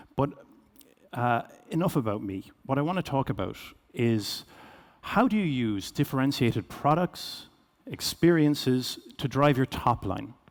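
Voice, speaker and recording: A man with a Cork accent speaks at a fairly high pitch with lively intonation. He leaves long, frequent pauses in a very clean recording with a silent background. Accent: Irish, Cork. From Ireland, Cork. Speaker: business executive, keynote speaker. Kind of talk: keynote presentation. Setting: stage with audience. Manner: fast.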